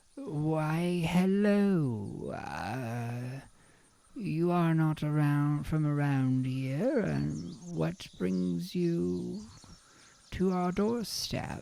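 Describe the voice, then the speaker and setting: Putting on a character voice, a man speaks fairly high with very wide pitch swings. The pace is very slow. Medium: actual play. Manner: gentle, courteous.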